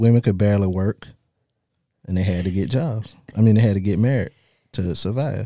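Speaking at a fairly quick pace with long, frequent pauses, a man has a fairly low pitch, ordinary pitch variation and a dark, mellow tone. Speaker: guest on dating show. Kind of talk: casual chat.

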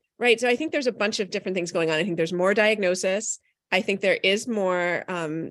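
A woman at medium pitch and a fairly quick pace, a normal speaking voice over a quiet background. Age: 40s. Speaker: parenting author and media expert. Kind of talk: live podcast interview. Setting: live broadcast at a conference.

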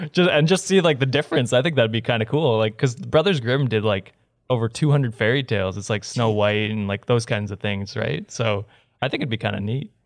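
A man with a normal speaking voice talks at a fairly quick pace and medium pitch. His intonation is lively, against a quiet background. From Canada. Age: 20s. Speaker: podcast host. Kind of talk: casual chat.

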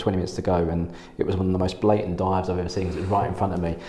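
A man's very deep, low voice with an English accent and monotone, flat intonation over noticeable background noise. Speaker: podcast host. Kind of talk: casual interview chat.

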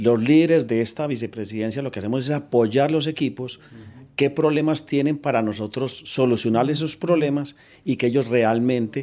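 The recording is very clean, with a silent background. A man speaks at a moderate pace in a dark, mellow tone, with a medium pitch and ordinary pitch variation. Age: 50s. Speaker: bank technology executive. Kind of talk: interview.

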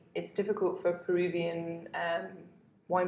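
In a southern English accent, a woman speaks with vocal fry, fairly low pitch and monotone, flat intonation, with audible room echo. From southern England, Hampshire. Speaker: wine journalist. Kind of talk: casual chat.

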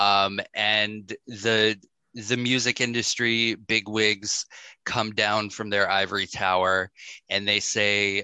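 A man speaks at a very slow pace. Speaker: podcast host. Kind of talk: casual interview chat.

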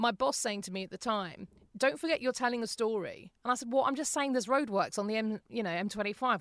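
A woman talks at a very fast pace with lively intonation and a fairly high pitch over a quiet background. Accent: British. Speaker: podcaster and former radio presenter. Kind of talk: interview. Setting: home voice booth in a closet.

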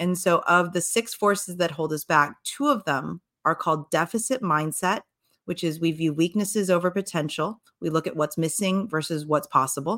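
A woman's fairly low voice at a moderate pace, with lively intonation, on a very clean recording with a silent background. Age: 40s. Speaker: author and public speaker. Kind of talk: interview.

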